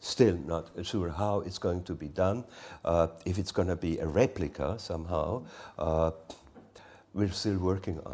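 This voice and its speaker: A man with a very deep, low pitch and ordinary pitch variation speaks at a fairly slow pace, with big swings in loudness and long, frequent pauses. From Switzerland, Engadine valley. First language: Romansh. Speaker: artist. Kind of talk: onstage artist conversation. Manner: halting.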